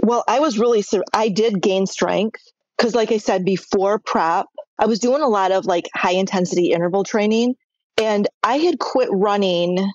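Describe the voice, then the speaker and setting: A woman talks in an unremarkable speaking voice at a medium pitch. Her pace is moderate, with ordinary pitch variation and very even loudness. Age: 60s. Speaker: massage therapist. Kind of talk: interview answer.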